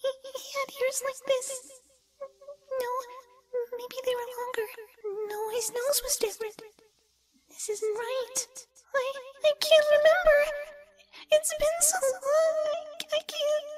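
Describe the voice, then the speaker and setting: A female-sounding put-on character voice at an extremely high pitch, fairly slow, with long, frequent pauses. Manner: tearful, sobbing.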